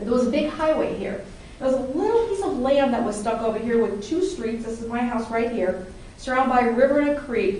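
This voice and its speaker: A woman speaks at a fairly quick pace with a high pitch, an animated tone and lively intonation. Noticeable background noise and audible room echo are present. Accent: American. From Dayton, Ohio, of Appalachian Kentucky family. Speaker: public speaking club member. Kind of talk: prepared speech to a club audience. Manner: conversational, animated.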